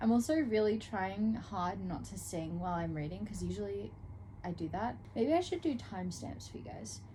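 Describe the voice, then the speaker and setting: The pace is moderate. Room echo is audible. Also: woman. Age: 20s. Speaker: book vlogger. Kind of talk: casual vlog talk to camera.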